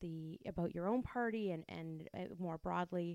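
A woman with a Canadian accent speaks at a medium pitch and moderate pace in an unremarkable speaking voice. Her intonation is fairly even, and the sound is dry and close with no echo. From Windsor, Ontario. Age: 30s. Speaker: podcast co-host. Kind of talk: interview. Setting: guest's office.

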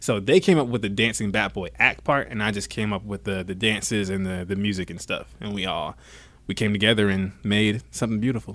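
Against a very clean recording with a silent background, a man speaks with vocal fry at a fairly low pitch. He goes at a fairly quick pace with ordinary pitch variation. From US South, Georgia. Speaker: dancer and stadium performer. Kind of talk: interview. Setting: baseball stadium.

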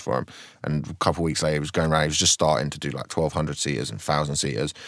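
In a very clean recording with a silent background, a man talks at a very fast pace. His pitch is very deep and low, with vocal fry and a slight south London accent. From Croydon, south London. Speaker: stand-up comedian.

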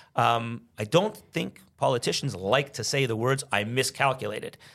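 Moderate pace in a Montreal accent. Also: man. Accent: Canadian English, Montreal anglophone. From Quebec, Canada (Montreal anglophone). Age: 50s. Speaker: businessman and former lawyer. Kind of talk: interview conversation. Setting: studio.

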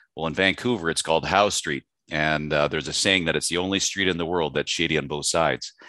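A man with a Canadian accent speaks at a very fast pace in a very deep, low pitch with a bright, sharp tone. His intonation stays fairly even against a quiet background. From western Canada. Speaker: mining company executive. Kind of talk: interview.

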